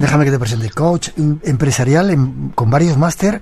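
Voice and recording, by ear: A man with a fairly high voice speaks at a moderate pace, his lively intonation carrying a slightly mellow tone.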